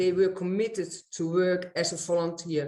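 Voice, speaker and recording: With a Dutch accent, a woman speaks at a moderate pace in a medium-pitched, dark, mellow tone, and the room echo is audible. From Netherlands. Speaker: eco-village resident. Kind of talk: panel discussion. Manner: halting.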